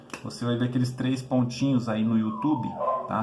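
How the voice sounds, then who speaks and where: A man's medium-pitched voice at a fairly quick pace, fairly even in intonation, with audible room echo and noticeable background noise. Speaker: university lecturer. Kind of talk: lecture.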